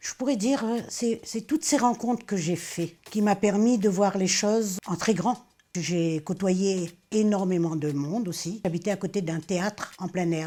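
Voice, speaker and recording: A woman speaks in an ordinary speaking voice at a fairly slow pace, with ordinary pitch variation. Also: medium pitch for a woman. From Réunion. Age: 60s. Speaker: retired cook and volunteer. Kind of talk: personal testimony.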